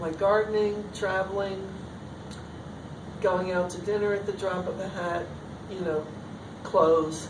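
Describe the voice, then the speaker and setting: A woman at a medium pitch speaks fairly slowly in a monotone, flat intonation, leaving long, frequent pauses, with audible room echo and noticeable background noise. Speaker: artist and teacher. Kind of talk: artist talk Q&A. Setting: talk with audience. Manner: loud and clear.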